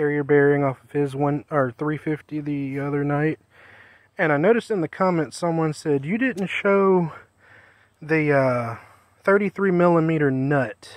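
A man speaks at a fairly slow pace with ordinary pitch variation and big swings in loudness. The sound is dry with no echo, over a quiet background. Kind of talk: tutorial. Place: garden. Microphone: phone near.

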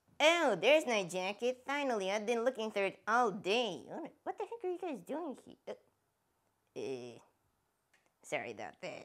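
Putting on a cartoonish character voice, a woman speaks at a fairly high pitch with very wide pitch swings and long, frequent pauses. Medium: puppet show. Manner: relieved then puzzled.

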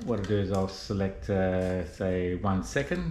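There is audible room echo and light background noise as a man with a fairly low voice speaks with ordinary pitch variation. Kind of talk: tutorial. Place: home room. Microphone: camera far.

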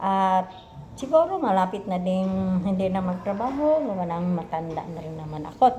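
Her voice at a medium pitch, a woman speaks at a fairly slow pace with lively intonation and audible room echo. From Philippines, Misamis Occidental (Mindanao). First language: Cebuano (Bisaya) (speaking Tagalog). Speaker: vlogger, health center worker, former teacher. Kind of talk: casual vlog self-introduction. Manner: halting.

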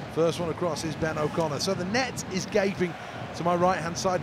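Amid noticeable background noise, a man with a high pitch speaks at a fairly quick pace in an animated tone. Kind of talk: live commentary. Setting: radio broadcast. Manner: rapid-fire, animated play-by-play delivery.

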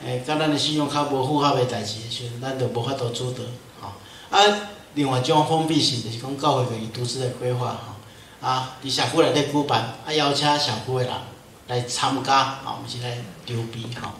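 With a Taiwanese accent, a man talks at a moderate pace and medium pitch, his intonation fairly even. Light background noise and audible room echo are present. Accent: Taiwanese Hokkien. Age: 50s. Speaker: pastor. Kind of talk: lecture. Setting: church. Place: church.

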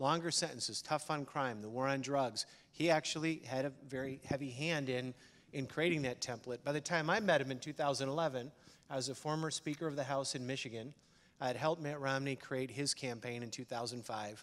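A normal speaking voice from a man, fairly high in pitch, with fairly even intonation at a moderate pace. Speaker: prison ministry advocate; conference panelist. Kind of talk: panel discussion. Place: stage. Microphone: handheld.

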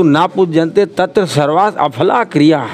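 A man speaks very slowly with ordinary pitch variation over noticeable background noise. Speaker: interviewee. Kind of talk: interview answer. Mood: earnest, respectful speech on women. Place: street. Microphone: handheld.

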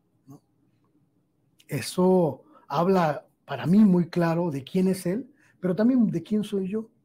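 A man with high pitch and a dark, mellow tone speaks at a very slow pace, with big swings in loudness. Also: ordinary pitch variation. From Mexico. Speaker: journalist. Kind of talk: interview. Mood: animated, emphatic storytelling. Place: studio. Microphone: lapel.

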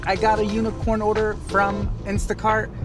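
At a moderate pace, a man speaks over clear background music. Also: dry sound with no echo. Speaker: gig delivery driver vlogger. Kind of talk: casual vlog chat. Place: car. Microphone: phone near.

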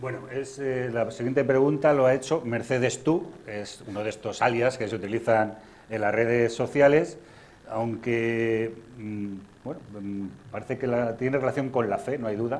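The voice moves at a moderate pace with fairly even intonation over light background noise. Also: man. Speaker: TV host and moderator; TV host, moderator. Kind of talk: moderating a public interview, reading audience questions. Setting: live event with audience. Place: hall. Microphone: lapel.

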